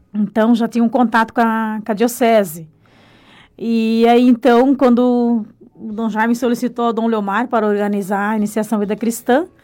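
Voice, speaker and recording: Her voice is dark and mellow, with a fairly high pitch. The woman speaks at a moderate pace with fairly even intonation. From Brazil, rural Paraná. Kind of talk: radio interview. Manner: halting, with repetitions.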